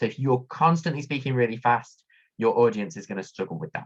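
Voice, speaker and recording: A man with a medium-pitched, somewhat breathy voice speaks with lively intonation. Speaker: workshop presenter, academic. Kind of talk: online workshop presentation. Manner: fast.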